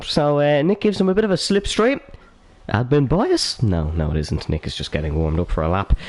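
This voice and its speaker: Speaking with an Irish accent, a man keeps a fairly quick pace. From Ireland. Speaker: sim racing commentator. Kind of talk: live commentary. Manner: animated.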